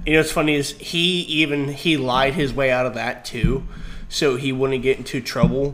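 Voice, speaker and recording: Fairly even intonation from a man pitched fairly high, with noticeable noise in the background. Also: moderate pace. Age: 30s. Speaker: podcast co-host. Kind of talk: casual chat. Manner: laughs often.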